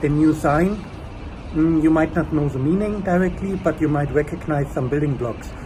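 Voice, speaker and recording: A German accent with fairly even intonation against noticeable background noise. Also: man. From Germany. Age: 30s. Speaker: language learner, engineer. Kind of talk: testimonial. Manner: casual, hesitant with fillers.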